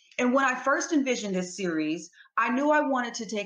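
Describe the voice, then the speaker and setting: Over a quiet background, a woman talks at a fairly quick pace. Her intonation is lively, and audible room echo surrounds her voice. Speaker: talk show host and researcher. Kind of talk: show introduction. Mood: calm, earnest. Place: home room. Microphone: webcam.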